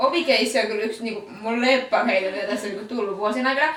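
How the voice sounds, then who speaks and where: Loud and very fast, a woman speaks with lively intonation. Noticeable background noise and audible room echo surround her. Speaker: podcast co-host, event announcer. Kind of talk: casual chat. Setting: studio.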